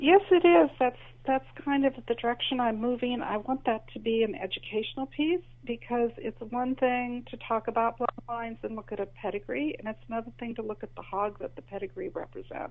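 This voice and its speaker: The woman's high pitch and lively intonation carry her fairly quick speech. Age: 60s. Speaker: author and heritage livestock breeder. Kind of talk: interview. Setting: podcast.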